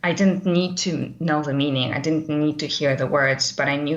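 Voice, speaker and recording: A woman's very deep, low voice with a non-native accent, fairly quick and fairly even in intonation, over noticeable background noise. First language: not English. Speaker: course participant. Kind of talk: live webcast discussion. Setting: live webcast. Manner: halting, many fillers.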